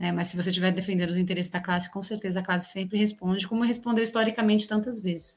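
Very fast and with hardly any pauses, a woman speaks in a somewhat breathy, medium-pitched voice with fairly even intonation. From São Paulo city, east zone periphery. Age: 40s. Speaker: politician. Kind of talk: interview.

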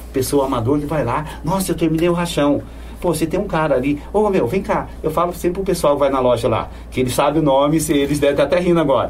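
Amid noticeable background noise and audible room echo, a man talks very fast at very even loudness with ordinary pitch variation. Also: fairly high pitch for a man. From São Paulo state, Brazil. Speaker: bike mechanic and cyclist. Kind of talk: casual interview. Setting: studio.

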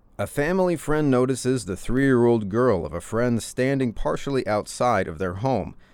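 With an American accent, a man speaks at a moderate pace and medium pitch, leaving hardly any pauses. His intonation is lively, and the recording is very clean with a silent background. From rural Indiana, US Midwest. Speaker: podcast host. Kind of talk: casual monologue. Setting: home office. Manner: loud.

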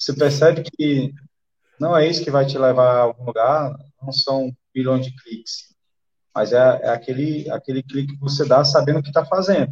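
A man speaks in a fairly high pitch with a somewhat breathy sound. His loudness swings widely. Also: moderate pace. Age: 40s. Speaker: special operations police officer and day trader. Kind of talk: podcast interview. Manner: halting, repeats words. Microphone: echo, volume dropping.

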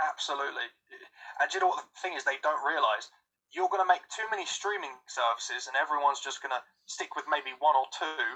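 A man with a British accent talks at a very fast pace, his loudness swinging widely. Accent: British, sometimes taken for Australian. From England. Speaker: voice actor and writer. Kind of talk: casual chat. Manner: hesitant, many fillers.

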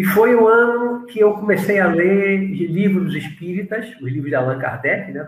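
A man with a high pitch and ordinary pitch variation talks at a moderate pace with hardly any pauses, amid noticeable background noise and audible room echo. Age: 60s. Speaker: spiritualist teacher. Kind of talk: interview.

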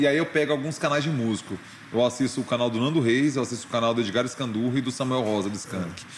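Talking at a very fast clip, a man with a medium-pitched voice varies his pitch in an ordinary way. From Brazil, Goiânia (Goiás). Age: 40s. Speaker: journalist and radio host. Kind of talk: casual interview chat.

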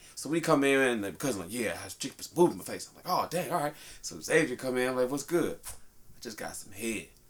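A man with a medium pitch talks at a fairly quick pace, using lively intonation, vocal fry and big swings in loudness. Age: 30s. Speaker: podcast host. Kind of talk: casual chat.

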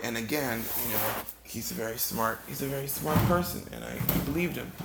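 This man's moderately paced speech is accompanied by audible echo from the room. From Ghana. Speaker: storyteller podcaster. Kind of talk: comedic storytelling monologue. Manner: halting, frequent repetitions.

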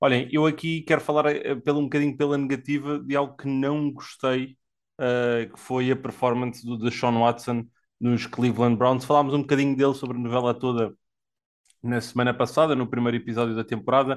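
Against a quiet background, a man speaks at a fairly quick pace in a monotone, flat intonation. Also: medium pitch for a man. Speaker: podcast host, NFL commentator. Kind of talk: casual sports panel discussion.

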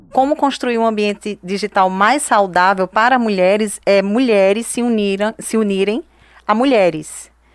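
A woman with an unremarkable speaking voice talks at a medium pitch and moderate pace, with ordinary pitch variation and very even loudness. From Brazilian Northeast, Juazeiro (Bahia). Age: 30s. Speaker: digital influencer and entrepreneur. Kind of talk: interview.

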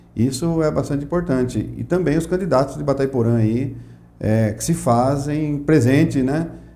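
With audible room echo behind him, a man speaks at a moderate pace in a medium pitch, his tone dark and mellow and his pitch variation ordinary. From Mato Grosso do Sul, Brazil (Aquidauana). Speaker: economics professor and Rotary member. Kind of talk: interview.

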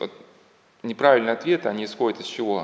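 Against noticeable background noise, a man talks at medium pitch. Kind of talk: lecture. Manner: halting, many filler words.

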